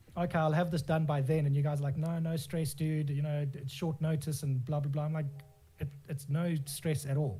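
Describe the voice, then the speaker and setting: Man at a fairly quick pace, fairly high pitch, monotone, flat intonation, music in the background. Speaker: graphic designer and FGC community lead. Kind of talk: casual interview answer.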